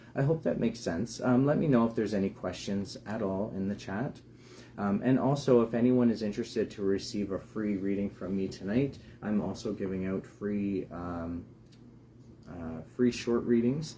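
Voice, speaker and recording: Quiet and dark, mellow in tone, a man speaks at a fairly low pitch and a moderate pace with ordinary pitch variation. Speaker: tarot reader. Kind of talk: live stream talk. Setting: live broadcast. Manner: hesitant, many fillers.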